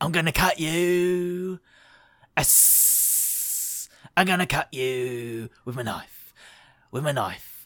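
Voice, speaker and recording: A man puts on a character voice at a fairly high pitch, speaking at a very slow pace with long, frequent pauses. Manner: menacing.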